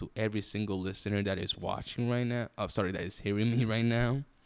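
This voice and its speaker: A man at a fairly low pitch, talking at a very fast pace. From Puerto Rico. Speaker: podcaster. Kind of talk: casual monologue. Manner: improvised, halting.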